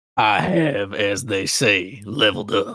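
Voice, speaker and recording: A man's raspy, fairly low put-on character voice at a fairly slow pace. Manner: playful, gamer speak.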